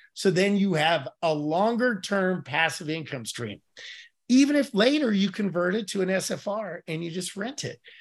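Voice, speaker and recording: Against a quiet background, a man with a high pitch speaks at a moderate pace in an animated tone with lively intonation. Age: 60s. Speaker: passive income investor and managing partner. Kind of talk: interview on podcast.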